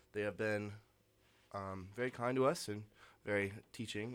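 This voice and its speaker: Here is an unremarkable speaking voice at a moderate pace. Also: man. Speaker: student band manager. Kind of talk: casual interview. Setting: radio studio.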